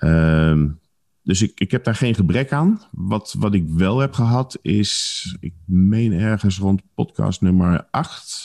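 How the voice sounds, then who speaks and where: Recorded dry and close with no echo, a man talks very slowly in a very deep, low voice with a dark, mellow tone. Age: 50s. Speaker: vitality consultant and podcaster. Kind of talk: casual interview.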